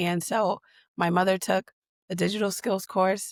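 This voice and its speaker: A woman's plain, everyday voice at medium pitch, with fairly even intonation, a dry, close sound with no echo, and a very clean recording against a silent background. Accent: American. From US Northeast, Boston. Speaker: digital equity leader. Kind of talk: interview conversation.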